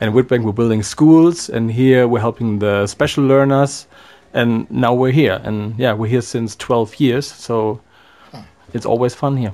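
Speaking at a fairly slow pace, a man with a German accent holds a medium pitch and fairly even intonation. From Germany. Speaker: volunteer on social project. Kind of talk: radio interview.

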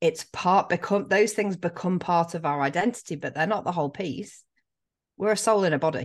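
Speaking fairly quickly with an English accent, a woman uses a fairly low pitch. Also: quiet background. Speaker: life coach. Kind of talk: casual interview.

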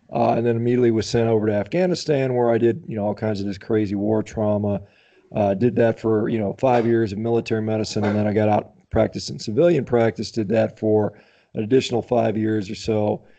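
A man with an American accent, his voice dark and mellow, fairly low in pitch, with ordinary pitch variation and a very fast pace. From US Midwest (Indiana). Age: 50s. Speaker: physician and athlete. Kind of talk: interview.

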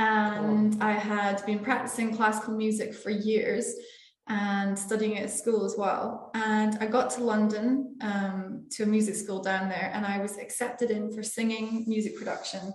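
A woman with a Scottish accent speaks at a fairly high pitch in a flat monotone, at a moderate pace. She leaves hardly any pauses, and background noise is noticeable. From Scotland. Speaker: entrepreneur. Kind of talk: interview.

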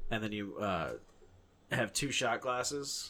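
A man speaks in an animated, bright, sharp tone. The recording is very clean, with a silent background. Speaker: podcast host. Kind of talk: casual banter, profane. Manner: animated, crude.

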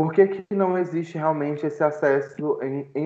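An unremarkable speaking voice from a man, fairly high in pitch, with fairly even intonation. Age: 20s. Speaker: student and fat-acceptance activist. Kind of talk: casual podcast interview.

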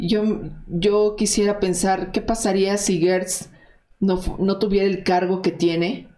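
A woman of medium pitch speaks at a very slow pace in a monotone, flat intonation, with audible room echo. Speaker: investigative journalist. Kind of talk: interview.

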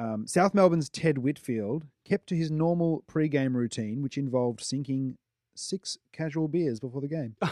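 In a very clean recording with a silent background, a man with an Australian accent speaks at medium pitch and a fairly slow pace, his dark, mellow tone carrying lively intonation. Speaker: sports podcast co-host. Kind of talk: scripted narration; casual chat. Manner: halting.

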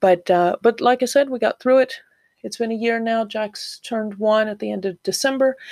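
A woman with a Southeastern US accent, fairly high pitch, moderate pace and fairly even intonation, in a very clean recording with a silent background and a dry, close sound with no echo. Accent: American, US South-East. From Florida, US. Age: 40s. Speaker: podcast host, new mother. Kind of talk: casual monologue. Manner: hesitant, many fillers. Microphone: new home microphone.

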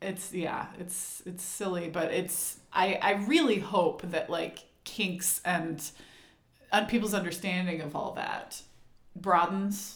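Over noticeable background noise and audible room echo, a woman with a medium pitch speaks at a very slow pace. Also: fairly even intonation. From Texas. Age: 30s. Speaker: podcast host. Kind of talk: casual chat.

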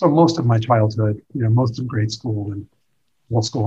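This man's voice sits fairly low, with a dark, mellow tone and a somewhat breathy quality. He talks at a moderate pace. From US (moved from Iran at age six). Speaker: dental school dean. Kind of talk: interview. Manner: halting, with frequent repetitions.

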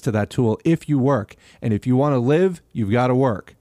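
A man talks at a moderate pace in a normal speaking voice, medium in pitch with ordinary pitch variation. The recording is very clean, with a silent background. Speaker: podcast host and audiobook narrator. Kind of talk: reading aloud a historical rally speech to workers, delivered as audiobook narration. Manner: earnest, rhetorical cadence of a fiery labor oration, with rhetorical questions; steady read-aloud pace with occasional stumbles and filler 'uh' in own intro.

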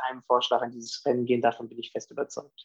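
The speaker is a man with a medium pitch. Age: 30s. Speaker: politician, youth organisation leader. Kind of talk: interview.

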